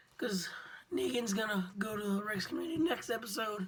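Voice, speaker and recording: A woman talks at a fairly quick pace with a fairly high pitch and lively intonation. Noticeable background noise and audible room echo are present. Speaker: vlogger. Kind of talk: casual TV recap vlog. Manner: rambling, informal.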